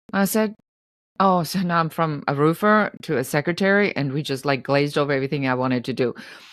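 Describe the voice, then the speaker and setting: Someone with a German accent talks at a very fast pace with lively intonation. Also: woman, very deep, low pitch for a woman, very clean recording, silent background. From Germany. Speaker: entrepreneur. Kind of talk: interview. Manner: animated.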